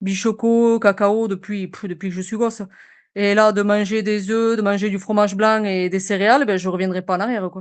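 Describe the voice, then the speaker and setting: Against a quiet background, a woman speaks at a moderate pace and medium pitch in a monotone, flat intonation. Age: 30s. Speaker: municipal police officer, coaching client. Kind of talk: testimonial interview. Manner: hesitant, many fillers.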